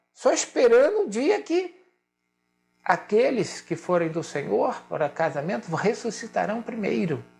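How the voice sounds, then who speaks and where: Over background music, a man delivers his words at a fairly slow pace. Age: 60s. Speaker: pastor. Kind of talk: sermon. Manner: emphatic, repetitive.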